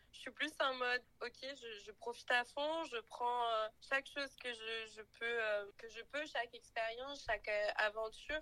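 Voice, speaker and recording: A woman talks at a high pitch with a bright, sharp tone. She goes at a fairly slow pace with fairly even intonation. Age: 20s. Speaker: podcast guest, recent graduate in HR. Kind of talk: casual interview chat.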